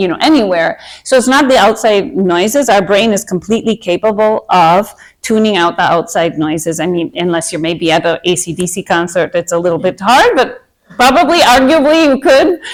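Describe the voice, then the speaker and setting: A woman with an American accent at a medium pitch, fairly quick pace and very wide pitch swings, in a very clean recording with a silent background. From Minnesota, US. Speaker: meditation and anxiety coach. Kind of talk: workshop talk to a group. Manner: casual, hesitant with fillers.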